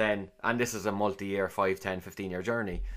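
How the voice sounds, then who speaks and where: Very fast and monotone, with flat intonation, a man speaks at a fairly low pitch with a Cork accent on a very clean recording with a silent background. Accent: Cork Irish. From Ireland, Cork. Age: 40s. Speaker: managing director and podcast host. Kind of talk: interview answers, casual business talk. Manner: hesitant, many fillers and repetitions.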